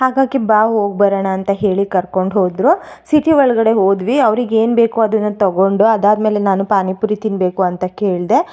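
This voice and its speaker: Her voice has a dark, mellow tone at a medium pitch, with ordinary pitch variation and very even loudness from this woman. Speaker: lifestyle vlogger. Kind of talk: vlog narration.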